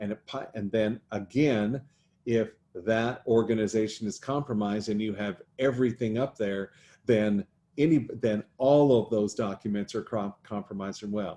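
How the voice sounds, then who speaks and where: Against a quiet background, a man speaks in a fairly low pitch with a dark, mellow tone and fairly even intonation. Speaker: accountant hosting a small business show. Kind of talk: live-streamed tutorial. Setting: Facebook Live stream. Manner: slow; halting.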